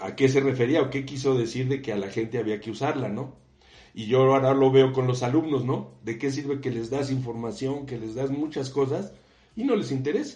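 In a room with audible echo, a man speaks at a fairly quick pace and a medium pitch, somewhat breathy, with a dark, mellow tone and ordinary pitch variation. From Mexico. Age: 60s. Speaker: civil engineer and university professor. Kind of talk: interview.

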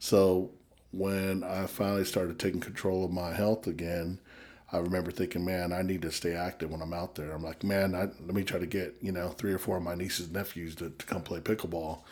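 A man with an American accent speaks at a fairly quick pace. His very deep, low voice holds a monotone, flat intonation. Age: 40s. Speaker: ministry worker. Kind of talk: casual chat. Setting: studio.

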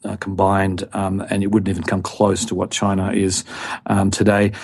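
A man with an Australian accent speaks at a moderate tempo. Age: 50s. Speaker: investment expert. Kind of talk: interview. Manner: halting, many fillers.

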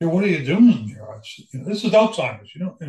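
A man's somewhat breathy voice rises and falls with lively intonation. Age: 70s. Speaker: Alzheimer's caregiver and military veteran. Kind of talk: interview testimony. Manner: halting.

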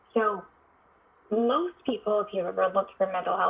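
A woman with an American accent, over noticeable background noise. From US West Coast, San Francisco Bay Area. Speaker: psychiatrist. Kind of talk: interview conversation.

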